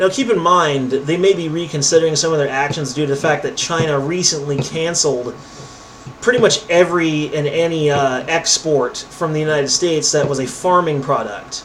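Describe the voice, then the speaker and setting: Fairly quick, fairly high-pitched male speech with ordinary pitch variation, plus audible room echo and noticeable background noise. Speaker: political commentary YouTuber. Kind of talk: reading news articles aloud with commentary. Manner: casual, sarcastic commentary; stumbling over words.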